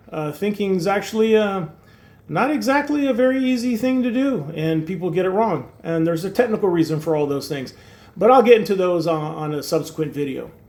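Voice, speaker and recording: Audible room echo surrounds a man whose high voice swings very widely in pitch as he talks at a fairly quick pace. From Turkey. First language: Turkish. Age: 60s. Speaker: YouTuber. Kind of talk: casual monologue. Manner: hesitant, many fillers.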